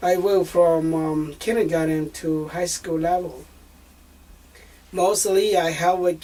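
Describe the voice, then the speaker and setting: This man has a high pitch and speaks with a Southeast Asian accent in a monotone, flat delivery. His pace is very slow, with long, frequent pauses. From northern Laos. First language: Hmong. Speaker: refugee and bilingual translator. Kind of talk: family interview. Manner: halting, many fillers.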